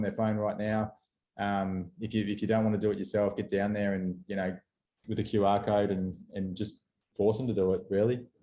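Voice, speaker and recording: A man's fairly low, dark, mellow voice with an Australian accent against a quiet background. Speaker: company representative presenting webinar. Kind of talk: webinar presentation. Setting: video call. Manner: fast; halting, many fillers and repeats.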